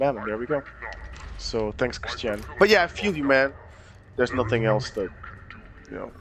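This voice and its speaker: Over noticeable background noise, a man with a medium pitch talks fairly quickly with lively intonation, big swings in loudness and long, frequent pauses. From Portugal. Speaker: streamer. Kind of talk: casual chat.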